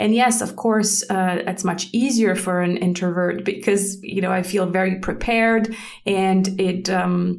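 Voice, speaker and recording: Speaking with a Swiss German accent, a woman talks at a fairly slow pace with fairly even intonation, and room echo is audible. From German-speaking Switzerland. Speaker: podcast host. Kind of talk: unscripted solo podcast talk. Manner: hesitant, with many fillers.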